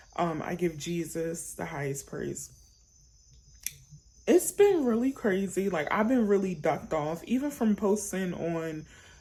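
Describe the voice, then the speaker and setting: Using vocal fry, a woman speaks at a fairly slow pace. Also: long, frequent pauses. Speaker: YouTuber sharing storytime. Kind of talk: casual chat to camera. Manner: animated, rambling with fillers.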